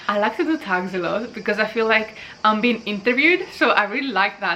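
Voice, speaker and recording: Noticeable background noise sits behind this woman's voice. She speaks fairly quickly at a fairly high pitch. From Greece. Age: 20s. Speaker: booktuber. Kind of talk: casual vlog, answering tag questions.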